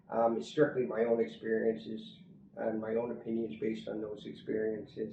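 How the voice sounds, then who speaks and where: A somewhat breathy voice speaks at a moderate pace. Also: man. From Canada. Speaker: expat interviewee. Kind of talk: interview. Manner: halting, many fillers.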